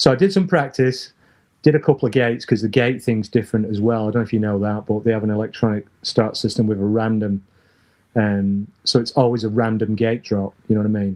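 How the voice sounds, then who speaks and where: With a northern English accent, a man speaks at a medium pitch and a fairly quick pace, keeping his intonation fairly even. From northern England. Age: 60s. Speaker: former BMX rider. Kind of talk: casual interview chat.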